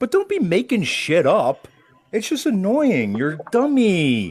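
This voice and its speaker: The voice is loud. Its pitch swings very widely. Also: man. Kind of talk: heated debate.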